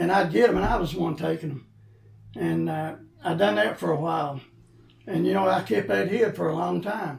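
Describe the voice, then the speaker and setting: Though his pace is fairly quick, a man with a fairly high pitch leaves long, frequent pauses. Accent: Appalachian. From Eastern Kentucky. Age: 60s. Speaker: former pastor and coal miner in recovery. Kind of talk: interview testimony. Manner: halting.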